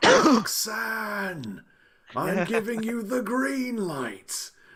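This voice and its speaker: A man's put-on character voice, high-pitched and at a very slow pace. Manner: loud, commanding.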